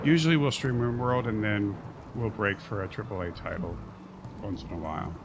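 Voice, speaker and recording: Lively in intonation, a man with a fairly low voice talks at a fairly quick pace against noticeable background noise and audible room echo. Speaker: gaming streamer. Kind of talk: live gameplay stream commentary. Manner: soft-spoken.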